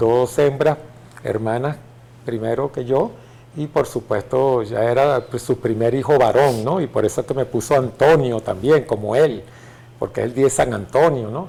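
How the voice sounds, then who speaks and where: A man with a medium-pitched, dark, mellow tone talks fairly slowly, somewhat breathy, with ordinary pitch variation. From Venezuela, Caracas. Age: 60s. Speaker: retired general and legislator. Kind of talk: interview.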